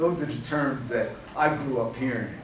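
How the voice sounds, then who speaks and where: In a New Jersey accent, a man with a fairly high pitch and ordinary pitch variation speaks at a fairly slow pace, with audible room echo and music in the background. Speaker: domestic violence prevention specialist. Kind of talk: conference workshop talk. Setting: convention center workshop. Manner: animated.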